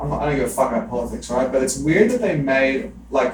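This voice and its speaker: Amid noticeable background noise and audible room echo, a man with an Australian accent talks at a fairly quick pace. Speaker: podcast host. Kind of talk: casual chat. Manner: animated.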